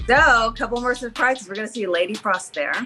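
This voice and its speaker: Music plays in the background as a woman speaks. Her pitch varies in an ordinary way. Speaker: professional wrestler. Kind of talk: interview answer.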